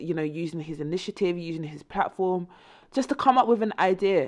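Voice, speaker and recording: In a quiet background, a woman with an English accent talks at a moderate pace, her fairly low pitch showing ordinary variation. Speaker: music news presenter. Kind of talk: casual news commentary. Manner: hesitant, many fillers.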